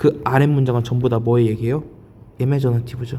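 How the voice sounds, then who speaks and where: This man's voice sits at a medium pitch with fairly even intonation. He speaks at a fairly quick pace. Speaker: Korean college entrance English teacher. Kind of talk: lecture. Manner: speeding up.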